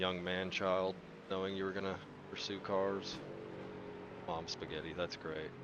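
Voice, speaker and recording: Soft-spoken, a man with a very deep, low voice talks at a moderate pace in a monotone, flat intonation. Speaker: sim racing broadcast commentator. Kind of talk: live commentary. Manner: casual, jokey.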